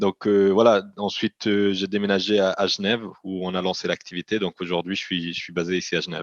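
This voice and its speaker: A man with a slight Italian accent, fairly low-pitched, talking at a fairly quick pace in a flat monotone, with a dry, close sound and no echo. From Italian-speaking Switzerland. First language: Italian (speaking French). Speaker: company CEO. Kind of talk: interview. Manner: halting, frequent repetitions.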